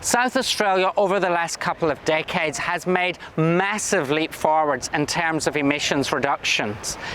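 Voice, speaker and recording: A man's high-pitched voice at a moderate pace, with ordinary pitch variation, very even loudness, hardly any pauses and noticeable background noise. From Scotland. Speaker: state government minister. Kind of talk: recorded conference address.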